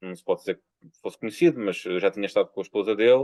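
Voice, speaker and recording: A man with a European Portuguese accent speaks at a fairly low pitch with ordinary pitch variation. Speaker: poet. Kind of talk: interview. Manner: halting.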